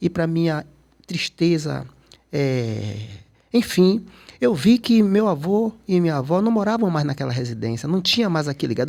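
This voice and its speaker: A man speaks at a fairly high pitch, his voice making very wide pitch swings. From Salvador, Bahia, Brazil. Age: 60s. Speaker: photographer and cultural activist. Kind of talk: interview conversation.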